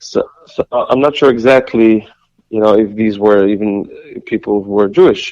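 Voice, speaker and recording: Talking at a fairly quick pace with long, frequent pauses, a man uses a medium pitch and ordinary pitch variation. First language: Yiddish. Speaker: singer and composer. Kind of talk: interview. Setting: phone call. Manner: halting, many repetitions.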